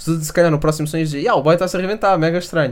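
Against noticeable background noise, a man with a European Portuguese accent speaks at a fairly high pitch. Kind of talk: casual chat.

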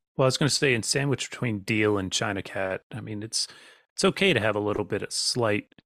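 In a plain, everyday voice, a man with an American accent talks at a fairly quick pace, his medium pitch showing ordinary variation, on a very clean recording with a silent background and a dry, close sound with no echo. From Virginia, US. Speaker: podcast host and songwriter. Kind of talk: casual chat.

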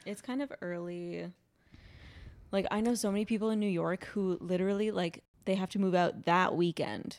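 A woman's medium-pitched voice, an ordinary speaking voice, with fairly even intonation at a moderate pace. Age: 20s. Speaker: podcast host. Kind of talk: casual chat.

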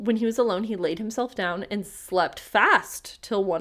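A text is being read aloud. Nothing about the voice sounds unnatural.

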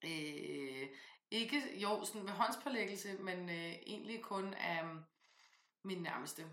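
A woman with a bright, sharp tone and lively intonation speaks at a very slow pace, leaving long, frequent pauses. Room echo is audible. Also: medium pitch for a woman. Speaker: podcast host, tarot reader and author. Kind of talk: casual chat.

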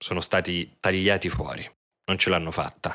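This man has a very deep, low voice with a bright, sharp tone, speaking at a moderate pace with fairly even intonation on a very clean recording with a silent background. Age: 30s. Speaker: theatre director and podcast narrator. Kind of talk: scripted narration.

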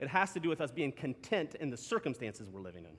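This man's pitch swings very widely, with vocal fry throughout. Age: 30s. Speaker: pastor. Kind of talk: sermon. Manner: animated; halting.

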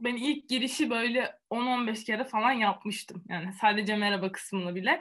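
Fairly high for a woman and somewhat breathy, her voice with ordinary pitch variation. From Antalya, Turkey. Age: 20s. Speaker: student and youtuber. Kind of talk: interview.

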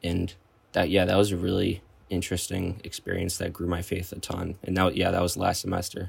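Talking at a fairly quick pace in a monotone, flat intonation, a man with an American accent has a very deep, low pitch and a somewhat breathy sound. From northern Wisconsin, US Midwest. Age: young. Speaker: college freshman. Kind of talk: testimony.

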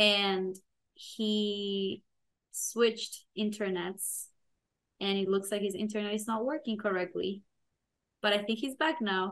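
Speaking with a non-native accent, a woman uses a medium pitch and ordinary pitch variation. She goes at a fairly slow pace with long, frequent pauses against a quiet background. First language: not English. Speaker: podcast co-host, product manager. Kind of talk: casual chat.

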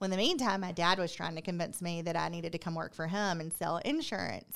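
Very fast woman's voice, fairly low in pitch, with ordinary pitch variation on a very clean recording with a silent background. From Columbus, Georgia. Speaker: nonprofit executive. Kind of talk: casual interview. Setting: studio.

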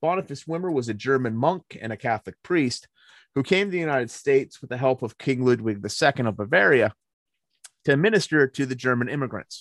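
A man with an unremarkable speaking voice and an American accent talks at a fairly quick pace and fairly high pitch, the sound dry and close with no echo. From rural Pennsylvania, Cambria County (Appalachians). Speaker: Benedictine monk and priest. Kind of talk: casual chat. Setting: remote call.

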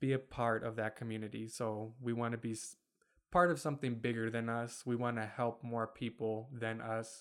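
An ordinary speaking voice from a man with an American accent, medium pitch, fairly even intonation and moderate pace, in a very clean recording with a silent background. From Michigan (Kentwood), US; Bosnian family. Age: 20s. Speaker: podcast co-host. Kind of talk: casual chat. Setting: home recording with dog, video.

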